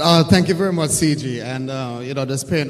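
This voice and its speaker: The voice has ordinary pitch variation, heard through noticeable background noise and audible room echo. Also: man. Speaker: diaspora community leader. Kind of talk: conference panel talk. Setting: stage with audience.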